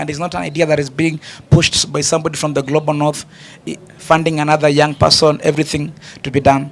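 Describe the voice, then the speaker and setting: A man's fairly high voice at a very fast pace over noticeable background noise. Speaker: panelist. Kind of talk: panel discussion.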